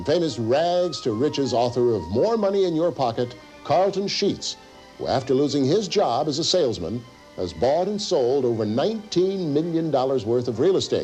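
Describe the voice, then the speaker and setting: A fairly high-pitched man with very wide pitch swings, music in the background. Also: moderate pace. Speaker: TV host. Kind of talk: infomercial host narration.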